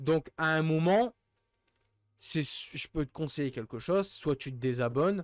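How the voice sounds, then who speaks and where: A man's animated voice, fairly high in pitch with ordinary pitch variation, at a fairly slow pace, in a dry sound with no echo against a quiet background. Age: 20s. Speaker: streamer. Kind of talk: livestream rant. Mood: frustrated, fed up. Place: home room. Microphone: studio mic.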